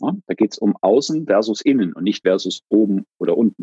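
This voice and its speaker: A dry, close sound without any echo carries speech delivered at a moderate speed. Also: man. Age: 50s. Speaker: organizational consultant and therapist. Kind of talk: interview conversation.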